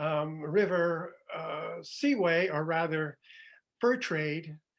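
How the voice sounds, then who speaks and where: A high-pitched man with a Canadian accent, against a quiet background. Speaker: history writer and author. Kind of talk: conference presentation. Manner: fast.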